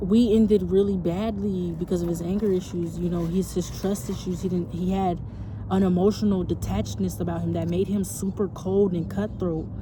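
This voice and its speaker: A woman talks at a fairly quick pace. Noticeable background noise is audible. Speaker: storytelling vlogger. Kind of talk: personal storytelling. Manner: halting, repeats words; casual, slangy.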